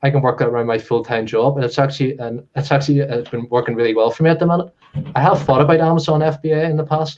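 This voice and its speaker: A man with a Belfast accent speaks very fast in a fairly high pitch with ordinary pitch variation. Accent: Northern Irish (Belfast area). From Northern Ireland, Comber near Belfast. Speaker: reseller. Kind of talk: interview.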